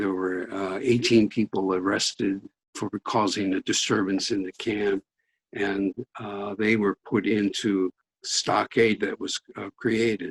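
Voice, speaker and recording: A man with an American accent speaks at a fairly slow pace and fairly low pitch. His intonation is monotone and flat, and the sound is dry and close with no echo. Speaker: Japanese American prison camp survivor. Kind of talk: interview.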